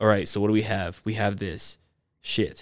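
In a very clean recording with a silent background, a man with an American accent talks in a plain, everyday voice at a fairly low pitch and a fairly quick pace. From US South, Georgia (Stone Mountain). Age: 30s. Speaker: martial artist and security officer. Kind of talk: casual chat. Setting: recording at a brewery.

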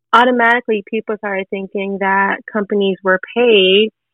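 Her medium-pitched voice is an ordinary speaking voice, as the woman talks at a moderate pace with fairly even intonation. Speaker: audience member. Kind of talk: interview.

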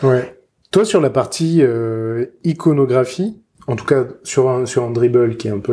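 Using a normal speaking voice, a man talks at a medium pitch and a fairly slow pace with ordinary pitch variation. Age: 30s. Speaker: podcast host. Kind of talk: interview.

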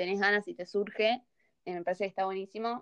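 A woman with a normal speaking voice at a medium pitch, ordinary pitch variation, and a dry, close sound with no echo. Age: young. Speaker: podcast host. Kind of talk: casual chat.

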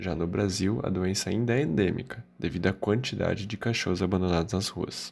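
An ordinary speaking voice from a man, at a moderate pace with ordinary pitch variation. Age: 20s. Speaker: veterinary student. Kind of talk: scripted narration.

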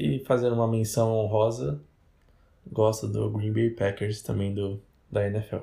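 Dark and mellow, somewhat breathy, a man speaks fairly slowly at a fairly low pitch with ordinary pitch variation and long, frequent pauses. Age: 20s. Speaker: podcast co-host. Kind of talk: casual chat.

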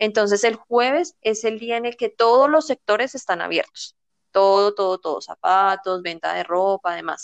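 A woman's normal speaking voice at a medium pitch, with a moderate pace, lively intonation and a dry, close sound with no echo. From Colombia, near Bogotá. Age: 20s. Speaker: flight attendant. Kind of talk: casual chat.

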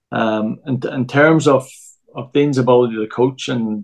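A man with a Northern Irish accent, medium pitch and a fairly slow pace. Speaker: football coach. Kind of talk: casual chat. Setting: remote from home.

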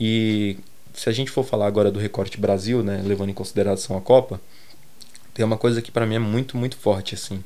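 A man speaks quite quickly at a fairly low pitch. His tone is dark and mellow, and his intonation is fairly even. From Brazil, Grajaú, São Paulo south zone. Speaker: fashion and aesthetics researcher. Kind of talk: interview.

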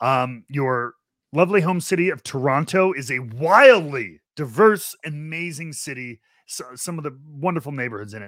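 A man uses an ordinary speaking voice, fairly high in pitch, with lively intonation and big swings in loudness. He keeps a moderate pace in a very clean recording with a silent background. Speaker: podcast host. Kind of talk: casual chat.

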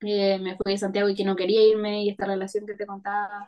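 Here a woman speaks with a Chilean accent. Her pace is fairly quick. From Chile, Maule region (Parral). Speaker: illustrator. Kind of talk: interview conversation.

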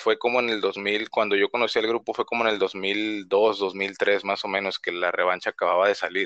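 A man at a fairly low pitch with a bright, sharp tone and monotone, flat intonation, fairly quick with hardly any pauses, in a dry, close sound with no echo. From northern Mexico, Reynosa, Tamaulipas. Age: 30s. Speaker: podcast guest, fan. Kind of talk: casual chat.

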